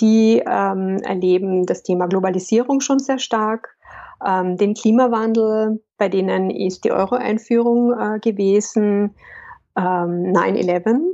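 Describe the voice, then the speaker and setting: Very slowly, a woman speaks at a medium pitch with ordinary pitch variation. Her loudness stays very even throughout. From Austria, Carinthia. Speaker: business consultant and coach. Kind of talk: interview.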